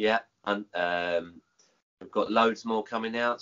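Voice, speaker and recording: Speaking with a southern English accent, a man has a fairly low pitch and keeps a moderate pace. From England, Kent. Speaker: supplement reviewer. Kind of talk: casual chat.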